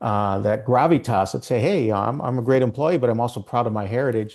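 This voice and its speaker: A man with a Minnesotan accent talks at a fairly quick pace against a quiet background. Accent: Minnesota. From Minnesota, US. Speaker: ERG consultant. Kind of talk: interview.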